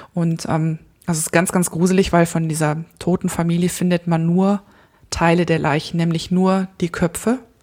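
At a moderate pace, a woman talks with a fairly low pitch and monotone, flat intonation. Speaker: photographer and podcaster. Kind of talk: casual chat. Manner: calm.

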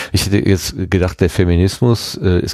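A man's voice, very deep and low in pitch, moves along at a moderate pace. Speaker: podcast host. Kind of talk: casual chat. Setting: studio.

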